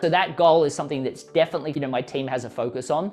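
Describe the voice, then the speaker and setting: Music plays behind a man with an Australian accent at a very fast pace. His pitch is fairly high, with ordinary variation. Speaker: author and business coach. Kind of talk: interview. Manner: animated.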